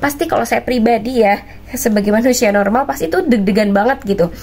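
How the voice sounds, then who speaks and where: Moving at a fairly quick pace, a woman talks with ordinary pitch variation. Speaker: vlogger sharing religious travel advice. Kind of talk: casual vlog chat. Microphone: lapel.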